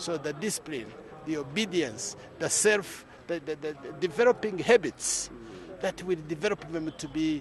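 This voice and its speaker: Fairly high-pitched male voice at a fairly slow pace, ordinary pitch variation, noticeable background noise. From Rwanda. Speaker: church youth movement leader. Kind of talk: interview.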